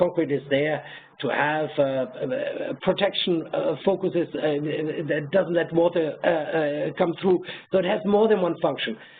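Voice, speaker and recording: Against noticeable background noise, a high-pitched man with a German accent talks at a moderate pace with lively intonation. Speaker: professor. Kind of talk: webinar Q&A. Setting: webinar. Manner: halting, many fillers.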